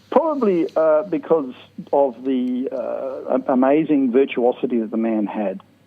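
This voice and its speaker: A man talks with an Australian accent. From South Australia, Port Augusta. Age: 50s. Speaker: jazz clarinetist. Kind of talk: interview.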